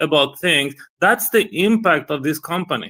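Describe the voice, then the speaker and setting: A man's high, bright, sharp voice with a non-native accent at a moderate pace, on a very clean recording with a silent background. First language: not English. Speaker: investor on a live audio panel. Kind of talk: casual discussion on live audio space.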